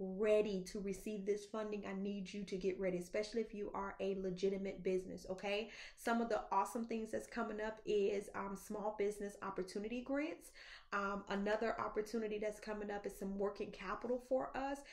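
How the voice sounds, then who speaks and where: Speaking at a moderate pace, a woman keeps her intonation fairly even. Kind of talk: casual vlog chat. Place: office. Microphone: phone near.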